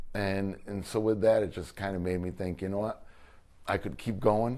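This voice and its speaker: A man speaks in a dark, mellow tone at a moderate pace. His intonation stays fairly even. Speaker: former high school football coach. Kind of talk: interview answer. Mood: earnest, frustrated. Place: office. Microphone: lapel.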